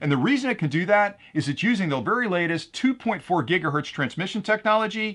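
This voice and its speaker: A man talks at a very fast pace in an enthusiastic tone. His intonation is lively, and the background is quiet. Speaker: tech product reviewer. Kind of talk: product review. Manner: loud.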